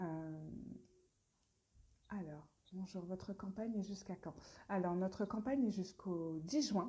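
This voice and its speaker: Very slowly and with long, frequent pauses, a woman speaks at medium pitch in a dark, mellow, somewhat breathy tone, with ordinary pitch variation and big swings in loudness. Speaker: brand founder presenting products. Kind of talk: live stream Q&A. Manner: hesitant, many fillers.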